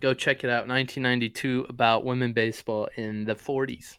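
A man with a plain, everyday voice speaks at medium pitch and moderate pace with fairly even intonation. The recording is very clean, with a silent background. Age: 20s. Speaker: sports podcast co-host. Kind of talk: casual chat.

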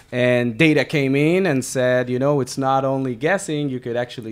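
Over noticeable background noise, a man with a medium pitch talks at a moderate pace. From Israel. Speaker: podcast host. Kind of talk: interview. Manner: halting.

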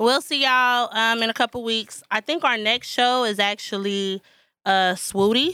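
Recorded very cleanly with a silent background and a dry, close sound with no echo, a woman speaks at a moderate pace in a bright, sharp tone, fairly high in pitch with ordinary pitch variation and very even loudness. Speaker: podcast host. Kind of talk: casual podcast chat.

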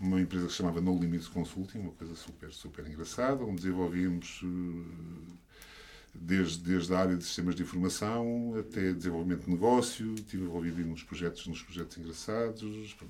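Very deep and low, a man's voice holds a fairly even intonation. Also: fairly quick pace. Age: 50s. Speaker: engineer and education entrepreneur. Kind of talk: casual chat. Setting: studio.

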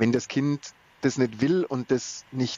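Here a man talks at medium pitch. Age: 40s. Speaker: event marketing manager. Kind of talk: interview.

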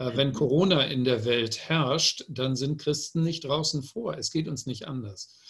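An ordinary speaking voice at a fairly slow pace, with hardly any pauses and ordinary pitch variation. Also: man, fairly high pitch for a man. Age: 60s. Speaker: publisher. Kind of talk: panel discussion.

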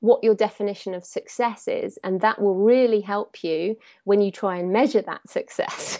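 With an English accent, a woman speaks at a moderate pace, using a fairly high pitch and ordinary pitch variation. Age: 30s. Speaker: thriller author. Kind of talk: interview.

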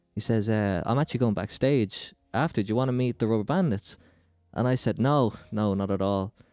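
A man's plain, everyday voice at medium pitch, fairly quick pace, ordinary pitch variation and very even loudness, on a very clean recording with a silent background. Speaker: rapper and podcaster. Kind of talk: casual interview chat.

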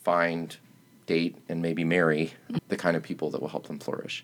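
This man has a very deep, low pitch and an American accent, speaking at a moderate pace. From US South, Chattanooga, Tennessee. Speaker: pastor. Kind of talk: casual chat.

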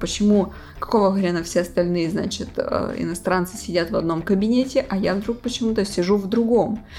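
A woman speaks at a medium pitch with ordinary pitch variation. Music plays in the background. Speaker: host's girlfriend. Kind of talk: casual chat. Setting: bedroom at night, lights off. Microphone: laptop mic placed on a bed.

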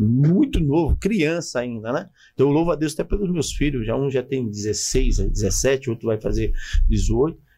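A man speaks with vocal fry and a dark, mellow tone. His pitch swings very widely. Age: 40s. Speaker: pastor. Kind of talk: casual interview with personal testimony.

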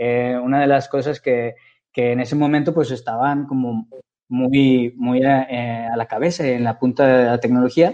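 A man with a dark, mellow tone and a medium pitch speaks at a fairly slow pace, his intonation fairly even. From Mexico, Guadalajara. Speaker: engineer and entrepreneur. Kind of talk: interview.

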